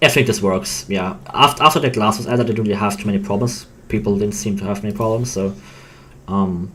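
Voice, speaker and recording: A man with a non-native accent talks at a very fast pace. His pitch is fairly low. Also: ordinary pitch variation. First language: not English. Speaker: game developer. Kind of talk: casual chat. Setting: live stream. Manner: halting.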